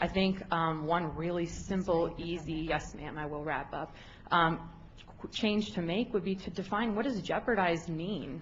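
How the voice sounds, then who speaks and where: Fairly low pitch from a woman, somewhat breathy, with ordinary pitch variation. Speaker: public commenter. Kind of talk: public testimony. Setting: public board meeting. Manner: fast; hesitant, many fillers.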